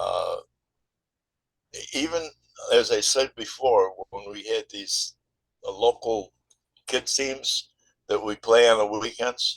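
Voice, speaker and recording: A man with an American accent speaks at a very slow pace with long, frequent pauses and big swings in loudness. The sound is dry and close, with no echo. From Western New York (North Tonawanda). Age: 80s+. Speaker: former high school football player. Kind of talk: interview.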